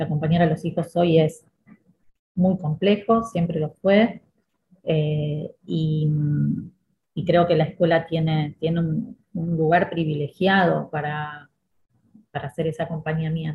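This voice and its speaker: With a Rioplatense accent, a woman speaks at a fairly slow pace with long, frequent pauses. Her voice is somewhat breathy and fairly low in pitch, with fairly even intonation. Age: 50s. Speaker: school director and educator. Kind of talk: podcast interview.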